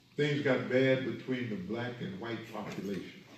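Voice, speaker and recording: Amid noticeable background noise and audible room echo, a man talks fairly slowly at a medium pitch with ordinary pitch variation. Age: 70s. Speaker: minister. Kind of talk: lecture. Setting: study group.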